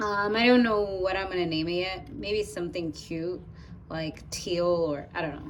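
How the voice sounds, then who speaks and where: A woman speaks with an American accent. There is noticeable background noise and audible room echo. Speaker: YouTuber. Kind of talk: unboxing tutorial. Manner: casual, hesitant with fillers.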